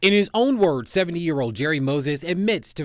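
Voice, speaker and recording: A man uses a normal speaking voice with lively intonation at a fairly quick pace. The recording is very clean, with a silent background. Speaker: TV news reporter and anchor. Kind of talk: TV news reporter stand-up and package narration.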